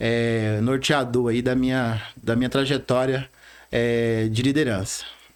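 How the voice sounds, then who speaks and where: Delivery comes at a very slow pace in a monotone, flat intonation. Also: man, medium pitch for a man, very even loudness. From Rondônia, Brazil (born in Bahia). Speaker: bank branch manager. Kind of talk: podcast interview, personal story.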